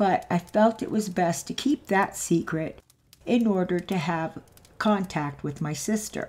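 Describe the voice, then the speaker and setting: A woman talks at a fairly slow pace in an ordinary speaking voice, her pitch fairly low with ordinary variation. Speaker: channel host narrator. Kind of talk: story reading narration.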